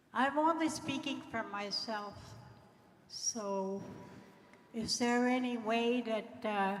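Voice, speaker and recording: Amid noticeable background noise and audible room echo, a woman speaks very slowly at a fairly high pitch, with long, frequent pauses. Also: ordinary pitch variation. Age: 70s. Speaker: community member asking a question. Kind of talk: public question at assembly. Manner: halting.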